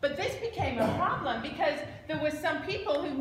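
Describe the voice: A woman speaks at a high pitch with lively intonation. Room echo is audible around her.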